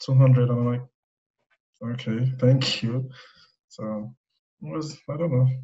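The voice is somewhat breathy, with a dark, mellow tone. It carries a strong Nigerian accent. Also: man. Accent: thick Nigerian. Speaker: web designer. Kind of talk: casual chat. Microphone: iPhone earbud mic, poor audio quality.

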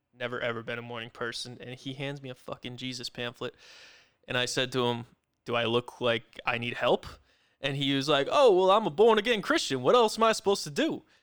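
An ordinary speaking voice with an American accent, moving at a fairly quick pace with lively intonation and big swings in loudness. The recording is very clean, with a silent background. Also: man, medium pitch for a man. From New Haven, Connecticut. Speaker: podcast host. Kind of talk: casual banter. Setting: live stream. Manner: joking, laughs often.

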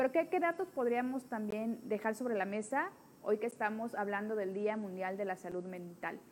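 Speaking in an unremarkable speaking voice, a woman talks at a moderate pace with lively intonation and a fairly high pitch. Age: 30s. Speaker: podcast host. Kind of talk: casual chat.

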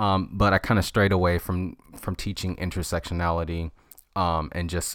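A man talks at a fairly slow pace in a very deep, low voice with fairly even intonation. The recording is very clean, with a silent background. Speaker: podcast host and college writing instructor. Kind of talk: casual solo monologue. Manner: many fillers and false starts.

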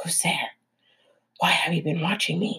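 A woman's put-on character voice, whispering, raspy and hissing, at a moderate pace.

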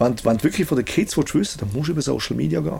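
A man is speaking. His voice has vocal fry. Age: 40s. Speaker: music producer. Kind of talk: casual interview. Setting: recording studio. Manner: halting, with many repetitions.

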